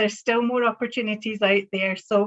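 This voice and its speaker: Scottish-accented woman, fairly high pitch, monotone, flat intonation, moderate pace. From Scotland. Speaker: banking professional. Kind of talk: panel talk.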